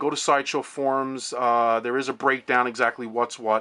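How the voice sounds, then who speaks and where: Over a silent background in a very clean recording, a man talks at a medium pitch with a bright, sharp tone. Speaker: toy collector reviewer. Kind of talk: casual video review. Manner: fast; halting, many repetitions and fillers.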